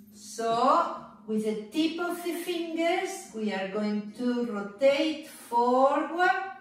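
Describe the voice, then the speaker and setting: Music plays in the background as a woman speaks at a very slow pace, her high voice making very wide pitch swings. Strong room echo surrounds her. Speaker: fitness instructor. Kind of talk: exercise instruction. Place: home room. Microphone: camera far.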